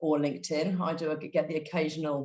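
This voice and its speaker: In a British accent, the voice moves at a fairly quick pace with monotone, flat intonation. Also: woman. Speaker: non-profit director and human rights lawyer. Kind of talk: webinar presentation. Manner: hesitant, many fillers.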